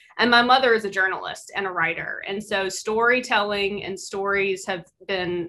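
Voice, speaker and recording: A woman speaks with a slight Mississippi accent. Her pitch is medium. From US South, Mississippi Delta. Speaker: visual artist and university teacher. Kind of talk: artist talk presentation. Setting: video call.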